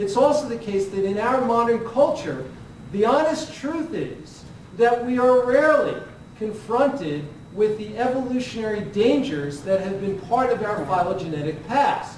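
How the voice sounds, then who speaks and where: Against noticeable background noise and audible room echo, a man speaks at a moderate pace with an extremely high pitch and lively intonation. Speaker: neuroscientist. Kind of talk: conference Q&A.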